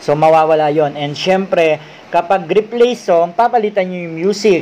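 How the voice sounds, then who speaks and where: A man speaks at a high pitch and a moderate pace, with light background noise. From Philippines. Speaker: YouTuber; tutorial creator. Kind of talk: tutorial. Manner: halting, with many fillers. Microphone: webcam.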